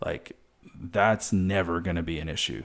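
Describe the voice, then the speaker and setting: The speaker is a man with an American accent. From Wisconsin. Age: 30s. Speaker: podcast host. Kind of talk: solo podcast monologue. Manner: hesitant, many fillers.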